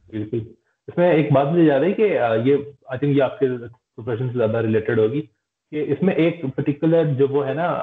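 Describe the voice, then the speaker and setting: A man's fairly high voice with ordinary pitch variation, at a moderate pace, against a quiet background with audible room echo. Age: 20s. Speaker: podcast host. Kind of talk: interview. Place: home room. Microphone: video call.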